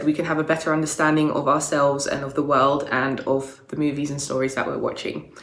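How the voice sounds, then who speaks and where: Fairly quick and very deep, low in pitch, a woman's voice carries audible room echo. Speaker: video creator discussing storytelling archetypes. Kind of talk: casual explainer monologue.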